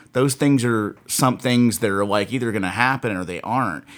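A man with a plain, everyday voice speaks at a medium pitch with ordinary pitch variation. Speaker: podcast co-host, metal fan. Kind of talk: casual banter.

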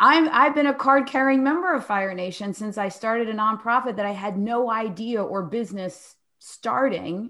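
A woman with an American accent speaks at a fairly high pitch in a bright, sharp tone, with lively intonation. Her pace is moderate, and the recording is very clean with a silent background. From Philadelphia, US. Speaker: podcast co-host and author. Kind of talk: casual interview chat.

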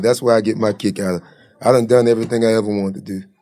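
This man's voice sits at a medium pitch with ordinary variation in it. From Jacksonville, Florida. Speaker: comedian. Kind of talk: casual chat. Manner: casual, profane.

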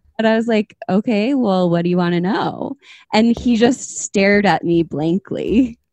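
A woman with an American accent speaks in an ordinary speaking voice at medium pitch, with ordinary pitch variation and a moderate pace, in a dry, close sound with no echo. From Minnesota. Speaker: podcast host. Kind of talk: casual chat.

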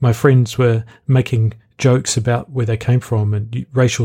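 Somewhat breathy, a man with a New Zealand accent speaks at a medium pitch with fairly even intonation. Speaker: podcast host; student. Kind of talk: reading an essay mixed with casual monologue. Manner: conversational with ums and ahs.

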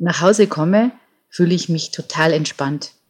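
A woman speaks at a fairly low pitch. Her voice is somewhat breathy. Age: 50s. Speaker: nature photographer. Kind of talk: interview.

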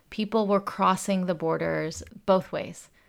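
A woman with an unremarkable speaking voice at medium pitch, at a fairly slow pace, in a very clean recording with a silent background. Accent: American. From US South, Atlanta, Georgia. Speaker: activist and nonprofit leader. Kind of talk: interview.

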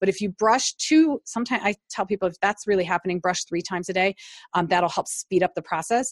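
A woman with an American accent, an ordinary speaking voice, medium pitch and ordinary pitch variation, in a dry, close sound with no echo. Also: fairly quick pace. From US Midwest, Cleveland Ohio. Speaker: nurse anesthetist and natural dental product maker. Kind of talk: interview.

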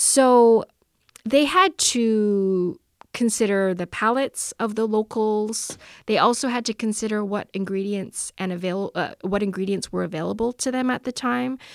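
A woman with a Canadian accent talks at a moderate pace in a plain, everyday voice at a fairly high pitch, on a very clean recording with a silent background and a dry, close sound with no echo. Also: ordinary pitch variation. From Canada, Vancouver. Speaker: journalist and author. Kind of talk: interview.

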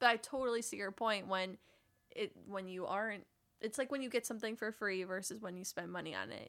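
A woman with an American accent speaks at a fairly quick pace and medium pitch. Her voice has vocal fry and ordinary pitch variation. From US Midwest. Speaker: podcast host. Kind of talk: casual interview. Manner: animated.

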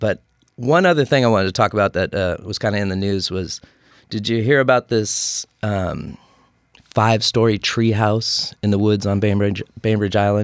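Featuring an unremarkable speaking voice, a man with an American accent and fairly low pitch talks at a moderate pace with ordinary pitch variation and a dry, close sound with no echo. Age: 50s. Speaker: podcast host. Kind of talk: casual chat. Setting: studio.

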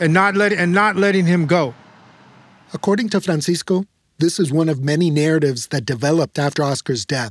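In a dry, close recording with no echo, a man with an American accent talks at a fairly quick pace in a plain, everyday voice, fairly high in pitch, with lively intonation and very even loudness. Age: 50s. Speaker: podcast host and reporter. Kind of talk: documentary narration with interviews.

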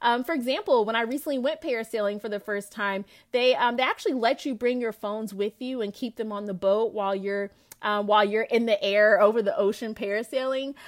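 Speaking at a fairly quick pace, a woman with a fairly high pitch shows ordinary pitch variation. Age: 20s. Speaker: podcast host, entrepreneur and speaker. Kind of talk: personal testimony monologue. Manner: hesitant, with frequent fillers.

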